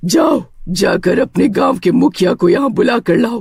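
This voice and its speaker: A cartoonish character voice, raspy and fairly high in pitch. It moves at a moderate pace. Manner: menacing.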